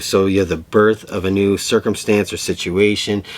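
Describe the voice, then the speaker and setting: A man with a fairly low pitch talks at a moderate pace over noticeable background noise. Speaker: tarot reader. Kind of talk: tarot reading monologue.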